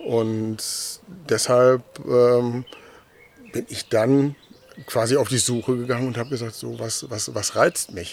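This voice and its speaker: This man speaks very slowly at a medium pitch, with long pauses that come often. Noticeable noise sits in the background. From Westphalia, Germany. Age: 50s. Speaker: 3D object photographer. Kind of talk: interview. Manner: hesitant, many fillers and repeats.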